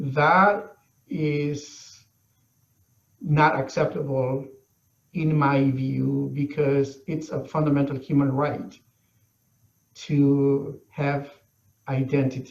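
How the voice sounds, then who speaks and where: A man with a Mesoamerican accent speaks at a very slow pace with long, frequent pauses. His fairly high, somewhat breathy voice has fairly even intonation. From Guatemala, northern Maya territory. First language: Maya language. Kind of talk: interview. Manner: hesitant, many fillers.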